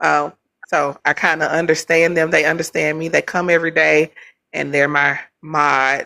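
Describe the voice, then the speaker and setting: This woman talks loudly at a moderate pace, her very deep, low pitch carrying vocal fry, a bright, sharp tone and monotone, flat intonation. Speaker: livestream debate host. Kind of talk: heated debate. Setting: livestream.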